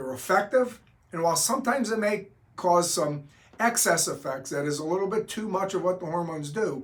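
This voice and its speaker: A man speaks in an ordinary speaking voice. His pace is fairly quick. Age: 60s. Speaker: doctor explaining hormone therapy. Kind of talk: explanatory talk to camera.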